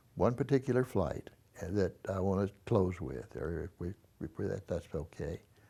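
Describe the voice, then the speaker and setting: A man with a Texan accent speaks at a fairly slow pace in a fairly low pitch, his dark, mellow tone carrying ordinary pitch variation on a very clean recording with a silent background. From Texas (Dallas). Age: 80s+. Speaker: war veteran. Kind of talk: oral history interview. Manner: halting.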